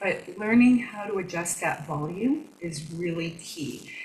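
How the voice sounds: A woman talks at a fairly slow pace, her pitch fairly low, with lively intonation. Room echo is audible.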